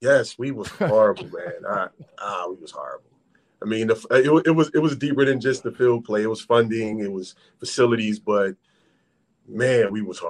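An ordinary speaking voice from a man at medium pitch, fairly quick pace, American accent, ordinary pitch variation and big swings in loudness. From Philadelphia. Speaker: former NFL wide receiver. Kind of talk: interview.

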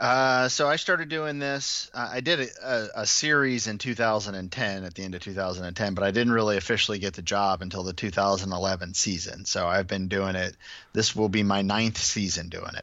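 This man has a normal speaking voice, pitched fairly low, with ordinary pitch variation at a moderate pace. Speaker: baseball statistician. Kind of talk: podcast interview.

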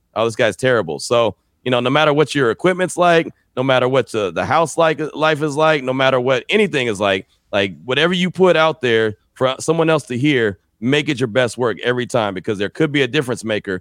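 A man with an American accent and a normal speaking voice talks fairly quickly in a medium pitch with lively intonation. The recording is very clean with a silent background, dry and close with no echo. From San Francisco Bay Area, California. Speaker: sports radio and podcast host. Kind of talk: interview.

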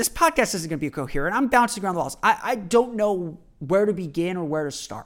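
In a very clean recording with silence behind it, the speaker goes at a fairly quick pace. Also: man. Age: 30s. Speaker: sports podcast host. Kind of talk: solo commentary monologue. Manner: halting.

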